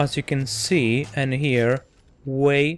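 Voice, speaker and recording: A man's medium-pitched voice with a non-native accent and fairly even intonation. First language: not English. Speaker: tech reviewer. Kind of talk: product review tutorial. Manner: hesitant, many fillers and repeats.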